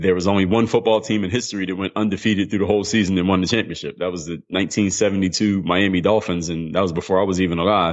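With a Philadelphia accent, a man with a very deep, low pitch talks at a very fast pace with hardly any pauses and fairly even intonation. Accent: Philadelphia American English. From US, Philadelphia. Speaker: former pro basketball player and mental toughness coach. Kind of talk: interview.

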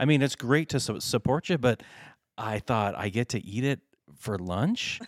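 With an ordinary speaking voice, a man talks at a fairly slow pace in a medium pitch with lively intonation, on a very clean, dry, close recording with no echo and a silent background. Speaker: podcast host. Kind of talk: casual chat.

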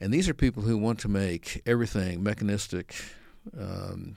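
A man talks with a very deep, low pitch, fairly even intonation and a fairly quick pace. The recording is very clean, with a silent background. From San Francisco Bay Area, US. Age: 70s. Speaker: creation science speaker, apologist. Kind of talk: interview conversation.

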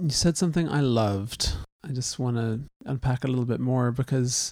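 A man speaks at a moderate pace in an unremarkable speaking voice. His medium pitch has ordinary variation. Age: 40s. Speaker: podcast co-host, husband. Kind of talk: casual conversation. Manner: joking, playful.

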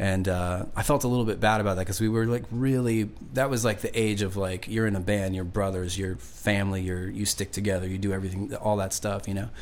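A man with a fairly low pitch and ordinary pitch variation races along at a very fast pace with hardly any pauses, his voice carrying audible room echo. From Long Island, New York; moved around (Indiana, Nevada, Georgia). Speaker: singer-songwriter. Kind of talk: casual interview chat. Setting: studio. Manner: relaxed.

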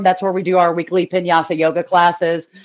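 Someone speaks very fast with an American accent. Background noise is noticeable. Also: woman. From Boston, US. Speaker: pinball event organizer. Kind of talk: casual chat. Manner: animated.

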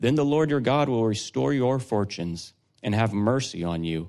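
Against a quiet background, a man with an unremarkable speaking voice talks at a moderate pace, fairly low in pitch and with lively intonation. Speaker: scripture reader. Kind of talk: reading aloud.

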